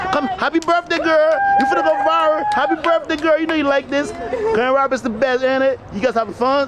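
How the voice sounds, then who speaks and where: A man's extremely high-pitched voice in a West African accent, animated in tone, with lively intonation, a fairly quick pace and crowd noise in the background. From Liberia. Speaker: vlogger. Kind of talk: casual chat. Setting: outdoors.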